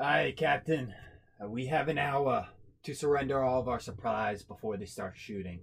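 Putting on a character voice, a man speaks at a moderate pace and medium pitch. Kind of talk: pirate accent roleplay. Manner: gruff, eager, rallying.

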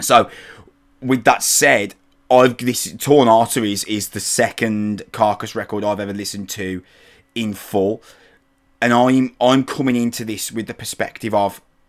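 With an English accent, a man speaks at a medium pitch and moderate pace, his intonation fairly even but his loudness swinging widely. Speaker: podcast host. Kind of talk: casual chat. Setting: video call.

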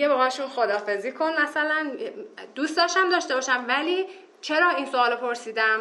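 Over noticeable background noise and audible room echo, a woman talks at a high pitch and a fairly quick pace in a raised, projected voice, with lively intonation and very even loudness. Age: 20s. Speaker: minimalism practitioner, tourism graduate. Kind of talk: casual interview chat.

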